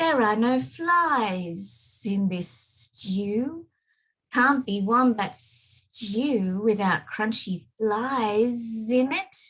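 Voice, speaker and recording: A woman's put-on character voice, hissing, fairly high in pitch, at a very slow pace. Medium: read story.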